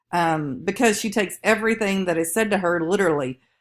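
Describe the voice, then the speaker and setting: In a very clean recording with a silent background, a woman speaks with a strong Southern US accent. Her medium pitch shows ordinary variation. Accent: strong Southern drawl. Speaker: college instructor. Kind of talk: recorded lecture. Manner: casual with fillers.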